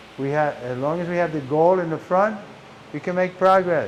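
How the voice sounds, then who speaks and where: A man at a moderate pace with ordinary pitch variation, amid audible room echo and noticeable background noise. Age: 80s+. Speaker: monk lecturer. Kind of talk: religious lecture.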